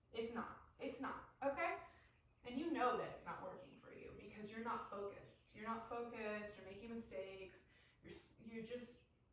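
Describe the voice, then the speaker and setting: A woman with a fairly high pitch speaks with big swings in loudness, and audible room echo fills the recording. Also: ordinary pitch variation, moderate pace. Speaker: spiritual coach. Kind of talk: guided somatic practice talk. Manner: loud and robotic; animated. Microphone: no microphone, built-in device mic.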